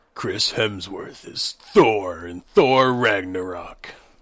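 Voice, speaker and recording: A man puts on a raspy character voice, pitched fairly low. He speaks at a very slow pace. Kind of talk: dramatic announcer delivery.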